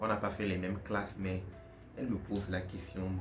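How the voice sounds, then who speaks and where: Here a man speaks with a Togolese accent and a very deep, low pitch. His voice is somewhat breathy, with audible room echo. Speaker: content creator. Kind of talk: casual Q&A vlog. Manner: casual, hesitant.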